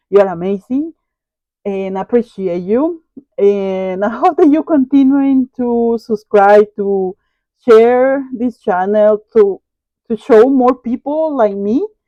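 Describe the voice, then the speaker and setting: A woman with a Latin American accent, very slow, dark and mellow in tone, fairly high in pitch, with lively intonation and a dry, close sound with no echo. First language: Spanish. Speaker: online reseller. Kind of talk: casual vlog talk to viewers.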